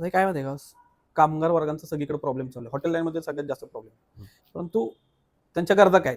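A normal speaking voice from a man, fairly high in pitch, with ordinary pitch variation and big swings in loudness. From Satara, Maharashtra. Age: young. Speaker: hotel owner. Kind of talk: interview.

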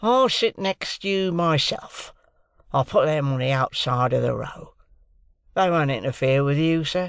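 Using a put-on character voice, a man talks at a fairly slow pace with lively intonation, his fairly high pitch carrying a fairly bright, clear, smooth tone edged with vocal fry.

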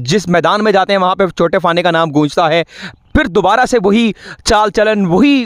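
Against a quiet background with dry sound and no echo, a man with a high pitch talks at a fairly slow pace, keeping ordinary pitch variation and very even loudness. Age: 20s. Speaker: sports interviewer. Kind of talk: interview. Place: open country. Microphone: handheld.

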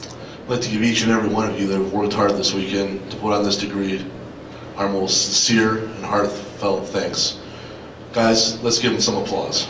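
Noticeable background noise sits behind a man with a fairly low pitch. He talks at a moderate pace in a monotone, flat intonation. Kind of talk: ceremonial speech. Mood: earnest, heartfelt, patriotic. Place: hall.

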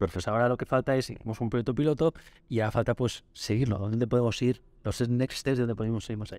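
A man talks very fast at a medium pitch with fairly even intonation. The sound is dry with no echo, over a quiet background. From Spain, Barcelona; Catalonia, Spain. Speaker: market research company director; podcast guest. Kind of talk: interview. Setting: conference venue. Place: studio. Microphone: studio mic.

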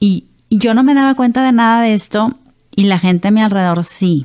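A woman with a fairly high pitch talks over a quiet background. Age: 40s. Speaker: Parkinson's patient and businesswoman. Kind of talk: testimony. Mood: personal, reflective testimony. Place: studio. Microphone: studio mic.

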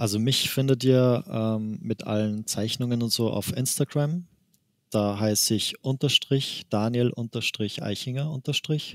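Speech in an Austrian accent comes at a fairly slow pace, with a dry, close sound and no echo. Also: man, medium pitch for a man, ordinary pitch variation. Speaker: manga artist. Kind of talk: interview. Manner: laughs often.

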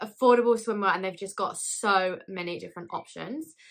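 Against a quiet background, a woman talks at a fairly quick pace in a bright, sharp tone, with medium pitch and ordinary pitch variation. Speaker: YouTuber doing a clothing haul. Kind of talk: casual vlog talk to camera.

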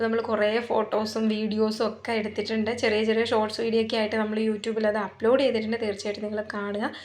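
A woman's voice sits fairly high in pitch. Audible room echo surrounds it. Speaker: vlogger. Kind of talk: casual vlog narration. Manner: animated.

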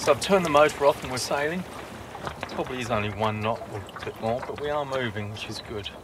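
With clear background noise behind him, a man speaks fast at a medium pitch and with ordinary pitch variation.

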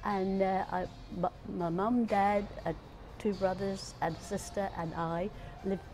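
With clear music playing in the background, a woman speaks at a fairly slow pace in a Norfolk accent. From Great Yarmouth, Norfolk. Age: 80s+. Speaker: elderly local resident. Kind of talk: interview answer, reminiscing. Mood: fond, nostalgic. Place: cafe. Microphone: phone near.

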